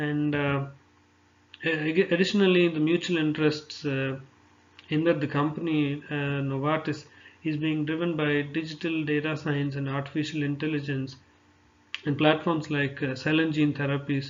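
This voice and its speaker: A man with an Indian accent, fairly high pitch, a moderate pace and monotone, flat intonation. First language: Telugu. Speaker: pharmaceutical sales representative. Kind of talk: job application presentation. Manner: halting, many fillers.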